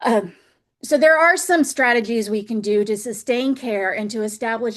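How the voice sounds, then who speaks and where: A woman speaks at a moderate pace in an ordinary speaking voice, her fairly high pitch moving with ordinary variation. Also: quiet background. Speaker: professor and webinar presenter. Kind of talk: webinar presentation. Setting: online webinar.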